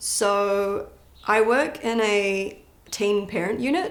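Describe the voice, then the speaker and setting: A woman with a British accent, with audible room echo. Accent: a bit of an accent, British-tinged. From born in London, grew up partly in New Zealand. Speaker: powerlifter. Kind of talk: casual interview.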